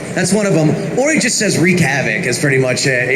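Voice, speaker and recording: A man's voice at a moderate pace, very even in loudness, with lively intonation and noticeable background noise. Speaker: voice actor at a fan meet. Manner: hesitant, lots of fillers.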